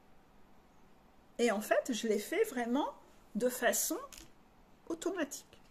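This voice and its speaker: A woman's high voice, its pitch swinging very widely. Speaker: life coach. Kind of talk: spiritual coaching video monologue. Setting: video recorded to camera.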